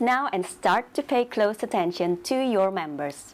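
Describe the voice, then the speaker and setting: A woman speaks at a fairly slow pace, her pitch swinging very widely. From Indonesia. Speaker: network marketing team leader. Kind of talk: training presentation.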